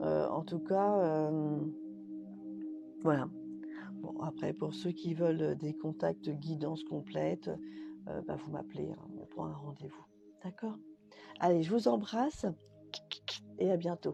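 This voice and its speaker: Over music in the background, a woman speaks very slowly with long, frequent pauses and big swings in loudness. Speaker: spiritual medium. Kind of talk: live stream channeling messages. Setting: live video stream. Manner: halting. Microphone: connection dropping out.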